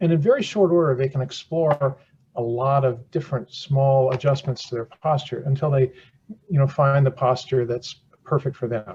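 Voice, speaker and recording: A man's somewhat breathy, fairly high voice with a dark, mellow tone at a moderate pace. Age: 70s. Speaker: surgeon and chair inventor. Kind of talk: podcast interview. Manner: repetitive false starts; animated.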